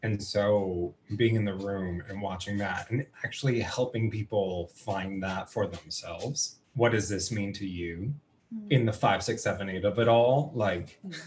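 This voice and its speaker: At a moderate pace, a man with a fairly low pitch and ordinary pitch variation sounds somewhat breathy. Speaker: musical theatre actor. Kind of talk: casual chat. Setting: video call.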